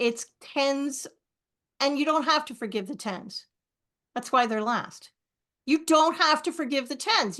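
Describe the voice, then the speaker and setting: With a raised, projected voice and a bright, sharp tone, a woman speaks at a fairly slow pace, her pitch high and her intonation lively, against a quiet background. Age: 60s. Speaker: author and speaker on forgiveness. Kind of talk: interview on a podcast.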